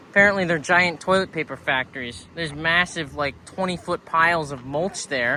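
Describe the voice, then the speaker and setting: Against noticeable background noise, a man speaks at a moderate pace and fairly high pitch with ordinary pitch variation. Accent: American. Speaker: hitchhiking travel vlogger. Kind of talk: casual vlog monologue. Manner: casual, profane.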